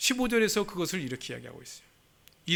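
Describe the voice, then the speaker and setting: The recording is very clean, with a silent background. A man's pitch swings very widely. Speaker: pastor. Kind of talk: sermon. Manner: fast.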